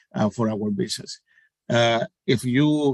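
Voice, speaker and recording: A medium-pitched man with a Spanish accent, in a very clean recording with a silent background and a dry, close sound with no echo. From Puerto Rico. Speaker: panelist, sports organization community staffer. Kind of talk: panel discussion. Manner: halting, many fillers.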